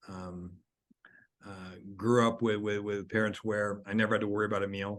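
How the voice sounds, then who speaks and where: A man with a Californian accent at a fairly low pitch, moderate pace and monotone, flat intonation, over a quiet background. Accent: General American (California). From California, high desert small town. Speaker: author and education speaker. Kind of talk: interview conversation. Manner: halting, repeated words.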